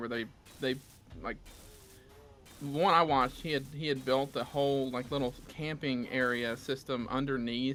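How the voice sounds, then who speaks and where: A man with a Southern US accent talks at a moderate pace in a medium pitch, his tone bright and sharp and his intonation fairly even. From US South. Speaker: gamer on co-op stream. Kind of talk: casual chat.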